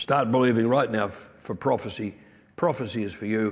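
A man with an Australian accent, medium pitch, and a moderate pace. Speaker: pastor. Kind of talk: sermon.

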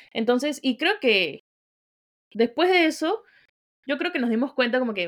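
A woman's high-pitched voice with very wide pitch swings at a fairly slow pace, dry and close with no echo, on a very clean recording over a silent background. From Peru, outside Lima. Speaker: podcast co-host. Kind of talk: casual chat.

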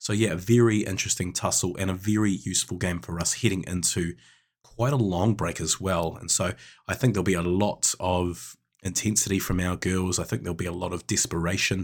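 On a very clean recording with a silent background, a man with a New Zealand accent and a very deep, low pitch talks at a fairly quick pace with ordinary pitch variation. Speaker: netball coach and podcast co-host. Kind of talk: casual chat.

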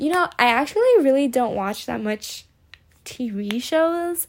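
This woman's intonation is lively. She speaks at moderate speed. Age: 20s. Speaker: podcast host, psychology student. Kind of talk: casual solo monologue. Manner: chatty, with frequent fillers and laughs.

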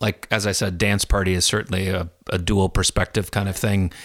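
A man speaks with a Midwestern American accent at a fairly low pitch and a moderate pace. His intonation is fairly even, and the sound is dry and close with no echo. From US Midwest (Des Moines, Iowa). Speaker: children's musician. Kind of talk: casual chat. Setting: his living room, recorded on location.

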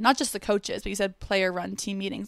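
The recording is very clean with a silent background. A woman speaks in an ordinary speaking voice at a medium pitch with fairly even intonation. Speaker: podcast host. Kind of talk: interview.

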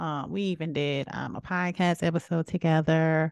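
A woman with a South Carolina accent, fairly low in pitch, at a moderate pace, with a dry, close sound with no echo and a quiet background. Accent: Southern US, South Carolina speech. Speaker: podcast host. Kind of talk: casual solo monologue. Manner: animated.

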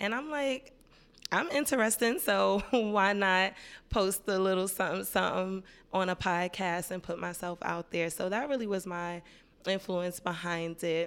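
A woman speaks at a moderate pace, her pitch in the medium range with ordinary variation. The recording is very clean, with a silent background. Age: 30s. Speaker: podcast host. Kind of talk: casual monologue.

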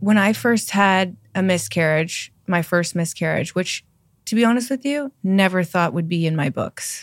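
With a plain, everyday voice, a woman speaks at a moderate pace and medium pitch, her intonation lively, on a very clean recording with a silent background. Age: 40s. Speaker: yoga teacher and skincare entrepreneur. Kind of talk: interview, casual chat. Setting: studio, in person.

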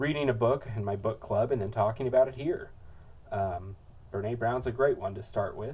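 The man's voice has a dark, mellow tone with a somewhat breathy quality. He keeps to a medium tempo. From third world country, moved to US. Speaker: podcast host. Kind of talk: solo podcast monologue. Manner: halting, many repeated words and filler.

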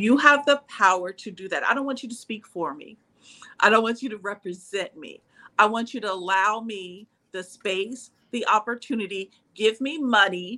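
At a moderate pace, a woman speaks in a bright, sharp tone with big swings in loudness. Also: fairly high pitch for a woman, ordinary pitch variation. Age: 50s. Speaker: web3 professional and yoga instructor. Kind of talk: casual chat.

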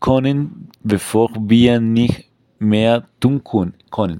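At a very slow pace, the voice carries a dark, mellow tone. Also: man. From Colombia. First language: Spanish (speaking German). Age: 20s. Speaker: climate activist. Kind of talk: scripted podcast discussion. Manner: halting.

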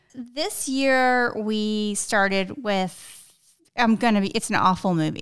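A normal speaking voice with ordinary pitch variation, in a very clean recording with a silent background. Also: woman. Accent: American. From South Texas. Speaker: podcast host, real estate agent. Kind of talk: casual chat.

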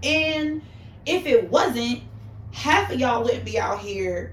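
There is noticeable background noise. A woman speaks with an American accent. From New York City. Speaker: makeup artist.

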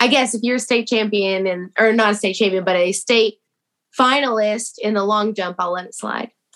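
A woman talks with a plain, everyday voice. Her pace is moderate and her intonation fairly even. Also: fairly high pitch for a woman. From Texas. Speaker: TikTok creator. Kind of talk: casual chat.

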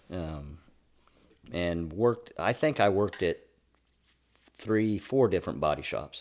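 This man has an American accent. His pitch variation is ordinary. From US Midwest (Illinois, Iowa, Kansas). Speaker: retired school janitor. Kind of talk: casual chat.

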